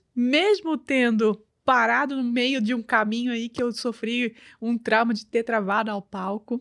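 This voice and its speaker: A woman with a high pitch speaks at a fairly slow pace. The sound is dry and close with no echo, in a very clean recording with a silent background. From Brazil, grew up in Belém do Pará. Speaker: image and communication strategist. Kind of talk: casual interview.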